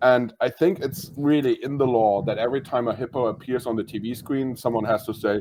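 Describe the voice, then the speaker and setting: A man with a German accent talks at a moderate pace. His medium-pitched voice has a dark, mellow tone. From Germany. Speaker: comedian. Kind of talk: casual chat.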